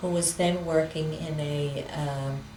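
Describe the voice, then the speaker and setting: A woman with a New York accent, a very deep, low pitch and monotone, flat intonation, amid noticeable background noise and audible room echo. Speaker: interviewee telling family history. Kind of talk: oral history interview. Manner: hesitant, with many fillers.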